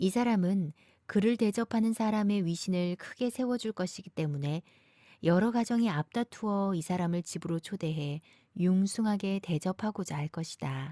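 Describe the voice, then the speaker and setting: Recorded very cleanly against a silent background, with a dry, close sound and no echo, a woman of medium pitch speaks at a moderate pace in a plain, everyday voice with ordinary pitch variation. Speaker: voice actor.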